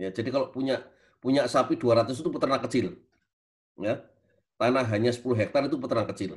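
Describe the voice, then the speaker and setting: This man's medium-pitched voice is somewhat breathy, with ordinary pitch variation. He moves at a fairly quick pace but leaves long, frequent pauses. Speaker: university lecturer, speaker. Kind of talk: webinar lecture.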